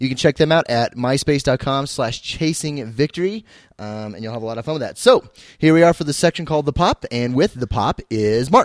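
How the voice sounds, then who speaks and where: A man talks at a fairly quick pace, fairly high in pitch, with lively intonation and big swings in loudness. The recording is very clean, with a silent background and a dry, close sound with no echo. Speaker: youth group podcast host. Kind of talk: casual podcast chat with radio DJ patter. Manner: upbeat, chatty, enthusiastic.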